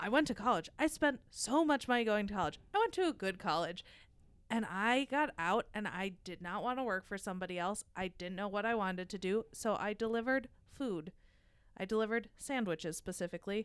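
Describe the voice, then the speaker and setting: Her tone is animated, and the woman uses lively intonation at a medium pitch. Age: 30s. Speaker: podcast host. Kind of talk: casual chat.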